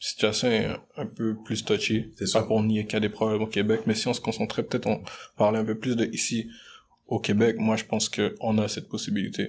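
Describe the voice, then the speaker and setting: A man with vocal fry speaks at a fairly low pitch and a fairly quick pace, his intonation monotone and flat. The recording is very clean, with a silent background. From Montreal (Anjou, Rivière-des-Prairies), Congolese-born. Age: 20s. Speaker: business student. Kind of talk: casual debate.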